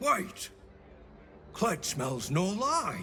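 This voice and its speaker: In a put-on character voice, the speaker uses a raspy middle pitch with very wide pitch swings, over clear background noise. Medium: video game. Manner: slow, simple third-person speech.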